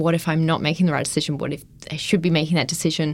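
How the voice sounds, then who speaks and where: A woman with an Australian accent, fairly low in pitch, in a flat monotone. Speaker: PhD student researcher. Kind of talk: interview.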